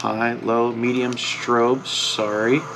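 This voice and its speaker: With fairly even intonation, a man talks over noticeable background noise. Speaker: outdoors vlogger. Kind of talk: casual vlog talk.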